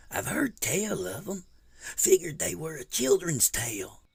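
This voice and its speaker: This man uses a put-on character voice. His pitch sits high. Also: moderate pace. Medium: read story.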